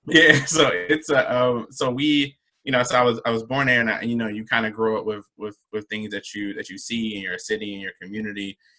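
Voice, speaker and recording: A man with a Baltimore accent speaks at a medium pitch and a fairly quick pace, barely pausing. His pitch varies in an ordinary way, while his loudness swings widely. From Baltimore, Maryland, US. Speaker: mental health advocate. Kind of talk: panel interview. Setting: live stream.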